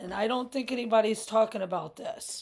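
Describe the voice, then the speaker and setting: A woman talks at a medium pitch, with vocal fry in her voice. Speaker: religious video blogger. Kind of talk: religious monologue. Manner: halting.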